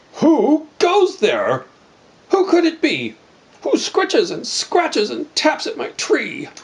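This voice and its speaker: Pitched extremely high, the put-on character voice unfolds at a fairly slow pace. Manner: hollering bravely, scared underneath.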